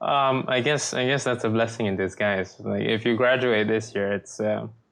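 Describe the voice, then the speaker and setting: Fairly even intonation from a man, medium in pitch and moderate in pace. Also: very even loudness. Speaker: podcast host, university student. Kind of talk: casual chat. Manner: hesitant, many fillers.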